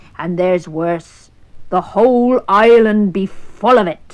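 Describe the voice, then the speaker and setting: A woman does a put-on, gruff character voice in a West Country accent. She speaks fairly slowly at a medium pitch. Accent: West Country pirate. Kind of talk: storybook pirate voice. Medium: read story. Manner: gruff, blustering.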